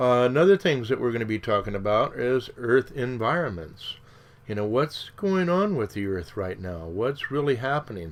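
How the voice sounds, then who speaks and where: With very wide pitch swings, a man speaks at a moderate pace in a medium pitch. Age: 60s. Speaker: radio show host. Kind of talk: solo radio monologue. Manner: conversational, with filler words.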